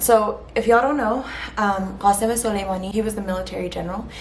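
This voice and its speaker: Very fast and fairly high-pitched, a woman speaks with an American accent. Noticeable background noise and audible room echo fill the recording. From US, Iranian family. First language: Farsi. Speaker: vlogger. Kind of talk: emotional vlog monologue. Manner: halting, many fillers.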